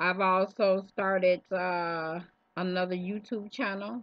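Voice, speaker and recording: A woman talks at a fairly slow pace, the sound dry with no echo and the background quiet. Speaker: vlogger. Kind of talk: casual vlog chat. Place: home room. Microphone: webcam.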